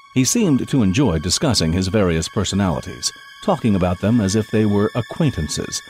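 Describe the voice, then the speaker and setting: A man speaks at a moderate pace at a fairly low pitch with very wide pitch swings. Music plays in the background. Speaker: voice actor. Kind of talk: audiobook narration.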